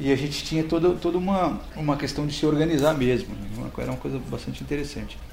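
A man's fairly high voice at a very fast pace and fairly even intonation, with audible room echo and noticeable background noise. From Brazil, Embu das Artes (São Paulo). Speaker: community centre founder and former rapper. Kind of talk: interview. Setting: in person at his community centre. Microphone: volume may vary between louder and quieter.

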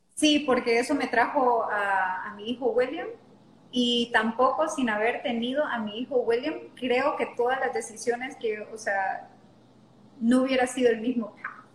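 Noticeable background noise accompanies fairly slow speech with ordinary pitch variation. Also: woman, high pitch for a woman. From Honduras (La Lima). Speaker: yoga teacher. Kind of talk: interview conversation.

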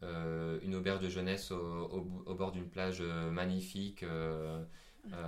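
A man with a very deep, low voice talks at a very slow pace in a flat monotone, with hardly any pauses. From France. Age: 20s. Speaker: traveller. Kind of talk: interview. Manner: halting.

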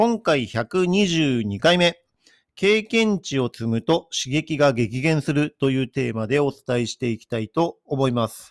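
In a dry, close recording with no echo, a man with a fairly high pitch talks at a fairly slow pace, his pitch swinging very widely and his loudness shifting in big swings. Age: 50s. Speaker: athletic trainer podcaster. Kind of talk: solo podcast monologue.

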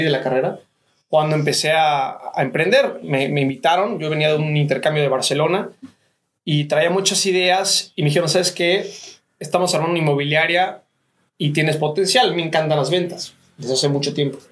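Fairly quick and very even in loudness, a man talks in a plain, everyday voice, fairly high in pitch with ordinary variation. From Cancún, Mexico. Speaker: real estate businessman. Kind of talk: radio interview.

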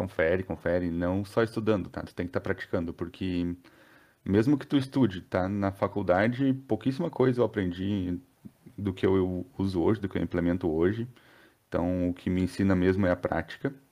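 A man's very deep, low voice with a dark, mellow tone, set against a quiet background. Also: ordinary pitch variation, moderate pace. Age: 30s. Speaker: software developer and technical school teacher. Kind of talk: casual interview chat.

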